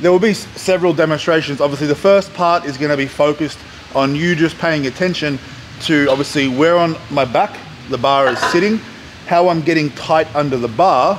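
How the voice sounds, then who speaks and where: A man speaks fairly quickly with ordinary pitch variation, light background noise underneath. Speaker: powerlifting coach. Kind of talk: tutorial. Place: gym. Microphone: headset.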